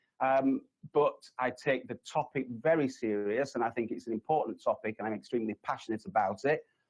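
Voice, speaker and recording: A man with a Yorkshire accent, medium pitch and a fairly quick pace. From Yorkshire, northern England. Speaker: resilience consultant, conference speaker. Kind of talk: conference presentation. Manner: hesitant, many fillers.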